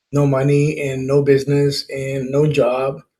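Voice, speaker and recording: At a fairly high pitch, a man talks in a somewhat breathy voice. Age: 70s. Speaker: balloon artist and workshop teacher. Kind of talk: casual workshop talk, personal story.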